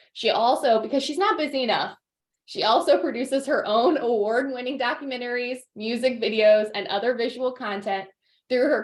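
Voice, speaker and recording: A woman speaks at a fairly quick pace. Her pitch is fairly high, with ordinary variation. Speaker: alumni event host. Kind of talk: interview. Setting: video call. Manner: loud.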